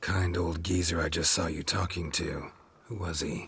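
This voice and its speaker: Putting on a character voice, a man speaks at a moderate pace with a raspy, very deep, low pitch. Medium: video game. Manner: terse, dry.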